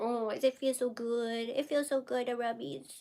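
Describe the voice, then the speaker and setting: Moderately paced, high-pitched speech from a woman doing a put-on character voice. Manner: cutesy.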